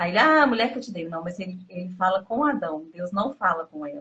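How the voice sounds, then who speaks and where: This woman talks at a fairly quick pace in a medium pitch. Her pitch swings very widely. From Minas Gerais, Brazil. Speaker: interviewee, abuse survivor. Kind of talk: interview testimony.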